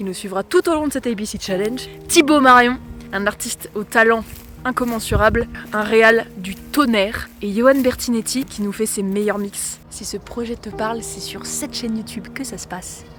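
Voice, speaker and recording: Pitch varies in an ordinary way and the pace is moderate. Noticeable background noise sits under the speech. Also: woman, fairly high pitch for a woman, big swings in loudness. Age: 20s. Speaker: musical theatre performer. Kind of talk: scripted presentation.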